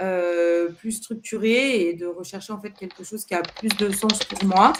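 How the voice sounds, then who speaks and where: A woman's medium-pitched voice at a fairly slow pace, with fairly even intonation and big swings in loudness, over noticeable background noise. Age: 30s. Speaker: job seeker in career change. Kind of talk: counseling interview. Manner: calm.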